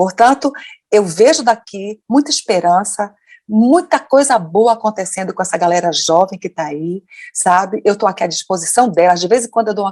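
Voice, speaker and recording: A woman's animated voice at a fairly quick pace, with very wide pitch swings and a dry, close sound free of echo. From Brazil. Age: 60s. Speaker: educator and activist. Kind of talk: interview.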